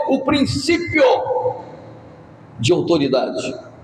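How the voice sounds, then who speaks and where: Speaking at a very slow pace, a man talks in a room with audible echo and noticeable background noise. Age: 60s. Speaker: pastor. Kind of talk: sermon. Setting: church.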